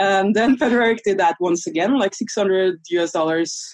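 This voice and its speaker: A woman with a Norwegian accent talks at a moderate pace and a medium pitch, her intonation lively. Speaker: online business coach. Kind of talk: interview.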